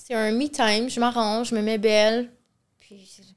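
A woman speaks with a fairly high pitch against a quiet background. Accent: Quebec. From Quebec. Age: 30s. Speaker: reality TV contestant, influencer; influencer. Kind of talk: casual interview. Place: studio. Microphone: studio mic.

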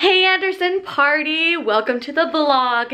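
Light background noise accompanies a woman talking at a fairly slow pace. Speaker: family vlogger. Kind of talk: casual vlog chat. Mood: amused, slightly embarrassed.

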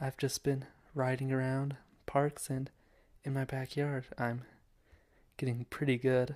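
Over a quiet background, a man talks at medium pitch and a moderate pace with an American accent. His voice is somewhat breathy, and his intonation is monotone and flat. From US West. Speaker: student and amateur filmmaker. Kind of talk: casual video monologue. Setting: home video recording. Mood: playful, mock-formal. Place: home room. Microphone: handheld.

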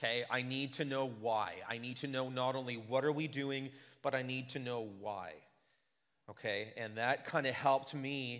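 Over a quiet background, a man speaks at a moderate pace with fairly even intonation. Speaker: pastor. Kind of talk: sermon. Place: church. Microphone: podium.

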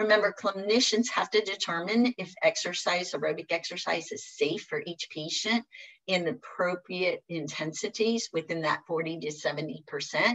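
A woman talks at a fairly slow pace with hardly any pauses and ordinary pitch variation. The background is quiet. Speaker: physical therapist; presenter. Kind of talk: webinar presentation; lecture. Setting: online webinar. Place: home room. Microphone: webcam.

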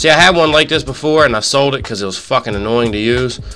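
The man's medium-pitched voice, with ordinary pitch variation, is heard over music in the background. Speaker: gamer. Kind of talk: live gameplay commentary. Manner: casual, profane.

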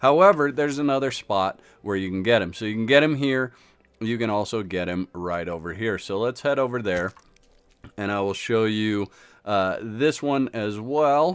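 This man speaks at a moderate pace and medium pitch in an unremarkable speaking voice with lively intonation. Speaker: gaming YouTuber. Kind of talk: tutorial. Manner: casual, filler-heavy.

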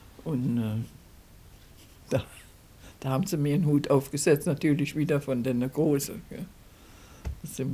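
Somewhat breathy, a woman with a very deep, low pitch speaks at a moderate pace with ordinary pitch variation. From Rhineland, Germany. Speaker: dialect poet. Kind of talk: interview answer. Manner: conversational, reminiscing. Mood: warm, amused reminiscing. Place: home room.

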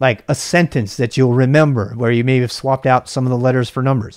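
A man speaks against a quiet background. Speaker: tech educator and video creator. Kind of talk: casual tutorial talk to camera. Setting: screen-share video recording. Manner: fast talker; informal, rambling with filler words.

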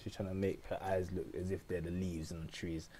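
A man's very deep, low voice, somewhat breathy, with a dark, mellow tone at a moderate pace. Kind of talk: comedic makeup tutorial voiceover. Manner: casual, joking, rambling.

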